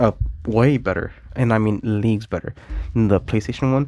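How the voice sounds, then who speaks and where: Fairly low male pitch, ordinary pitch variation, and a dry, close sound with no echo. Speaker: gaming YouTuber. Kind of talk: casual vlog commentary. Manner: hesitant, many fillers.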